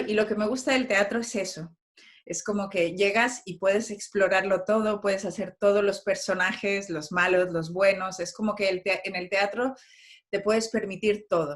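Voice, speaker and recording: This woman speaks at a moderate speed, her mid-range voice holding fairly even intonation. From Mexico. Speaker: playwright and actress. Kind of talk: interview.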